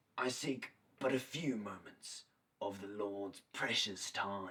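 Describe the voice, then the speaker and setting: In a put-on character voice, a man talks fairly slowly with a raspy, fairly low pitch. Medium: short film. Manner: formal, wheedling.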